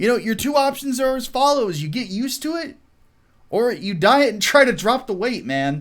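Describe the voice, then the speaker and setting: This man has an American accent and an extremely high voice. His tone is animated. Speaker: YouTube commentator. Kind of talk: casual livestream commentary.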